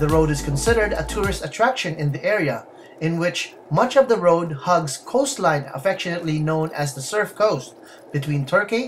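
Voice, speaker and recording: Music in the background behind a man at a moderate pace. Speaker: travel vlogger narrator. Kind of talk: documentary narration.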